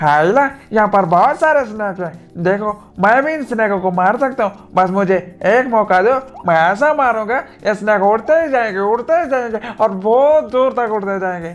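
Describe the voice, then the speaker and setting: Putting on a character voice, a man with a high pitch speaks at a moderate pace while faint music plays in the background. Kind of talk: gaming commentary with funny character voices. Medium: role play. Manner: excited, pleading.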